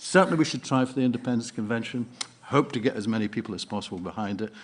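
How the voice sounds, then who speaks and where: A man speaks with a Scottish accent and lively intonation. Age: 70s. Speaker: party delegate. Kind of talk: conference speech. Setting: conference hall with audience.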